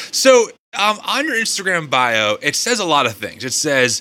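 A man speaks in an animated way, his pitch swinging very widely. His tone is bright and sharp. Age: 30s. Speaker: podcast host. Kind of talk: interview conversation; host promo read.

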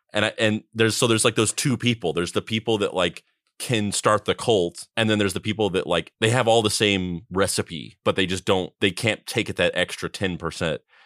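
A normal speaking voice from a man with an American accent, fairly low in pitch with ordinary variation, at a fairly quick pace with hardly any pauses, in a very clean recording with a silent background and a dry, close sound with no echo. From US Southwest (New Mexico). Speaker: podcast co-host. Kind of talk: casual comedic podcast chat. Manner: profane, jokey.

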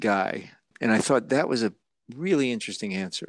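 With an American accent, a man talks at a fairly quick pace in lively intonation, an unremarkable speaking voice over a quiet background. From New Jersey. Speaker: actor. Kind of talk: interview.

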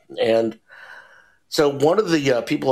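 A man talks at a moderate pace. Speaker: documentary filmmaker. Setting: video call.

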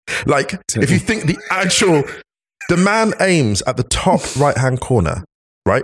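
Speaking at a fairly slow pace, a man uses very wide pitch swings and vocal fry. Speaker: football pundit. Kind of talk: casual chat.

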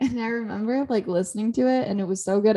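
A woman speaks at a fairly quick pace. Her tone is dark and mellow, and somewhat breathy. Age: 20s. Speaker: podcast co-host. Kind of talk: casual chat.

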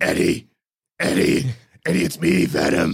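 A man puts on a raspy character voice with a very deep, low pitch.

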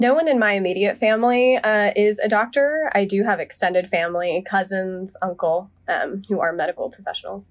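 With an American accent, a woman uses a plain, everyday voice at a medium pitch, with ordinary pitch variation and a fairly quick pace. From US South, Charlotte, North Carolina. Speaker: medical resident. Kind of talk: debate discussion.

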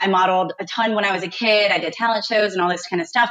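The woman has an unremarkable speaking voice at a medium pitch. She talks at a fairly quick pace. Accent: American. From eastern North Carolina. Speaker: cheerleader and medical sales rep. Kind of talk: casual chat.

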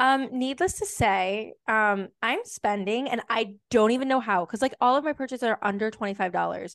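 Against a quiet background, a woman in an unremarkable speaking voice talks at a moderate pace with a fairly high pitch and ordinary pitch variation, the sound dry and close with no echo. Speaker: podcast co-host. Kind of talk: casual chat.

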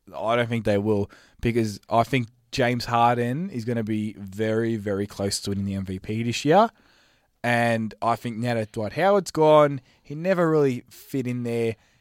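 A man with an Australian accent speaks at a medium pitch and a moderate pace with ordinary pitch variation, in a very clean recording with a silent background and a dry, close sound with no echo. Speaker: basketball pundit. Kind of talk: casual chat.

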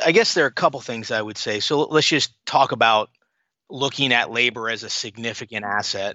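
This man has a normal speaking voice at a medium pitch. He talks at a fairly quick pace with ordinary pitch variation. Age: 50s. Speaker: private equity investor and author. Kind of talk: interview. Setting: podcast.

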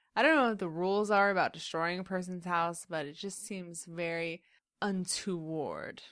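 Against a quiet background, a woman talks at a moderate pace with a normal speaking voice, a medium pitch and ordinary pitch variation. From Central Indiana, US (moved from Queens young). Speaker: podcast co-host. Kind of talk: casual chat.

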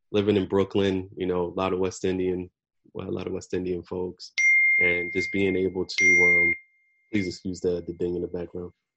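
A man with a slight Caribbean accent speaks at a very deep, low pitch. His intonation is monotone and flat, and his pace is moderate. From US Northeast, New Jersey. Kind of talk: casual chat. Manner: halting, many fillers.

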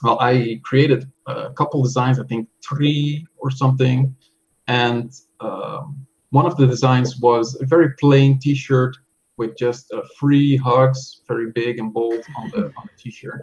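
A man with a medium pitch and a somewhat breathy voice talks very slowly, his intonation fairly even and his loudness swinging widely. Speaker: software tool creator and online seller. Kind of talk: casual interview. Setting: video call.

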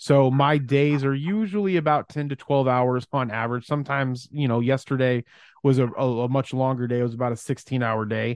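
In an unremarkable speaking voice, a man with an American accent speaks at a fairly quick pace, medium in pitch with ordinary pitch variation. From Arizona, Phoenix area. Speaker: entrepreneur and podcast network founder. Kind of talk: casual interview.

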